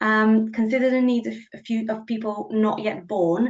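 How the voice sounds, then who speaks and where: The speaker has a Bulgarian accent and ordinary pitch variation. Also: woman. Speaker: policy officer. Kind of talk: presentation. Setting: video call.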